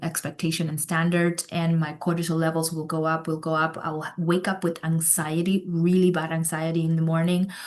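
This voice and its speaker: A woman with a fairly low pitch speaks in a monotone, flat intonation against noticeable background noise. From Cuba. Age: 40s. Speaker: med spa owner and founder. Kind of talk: podcast interview.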